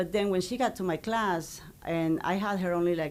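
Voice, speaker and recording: With a Spanish accent, a woman talks with ordinary pitch variation. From Ecuador. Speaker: high school Spanish teacher. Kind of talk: interview.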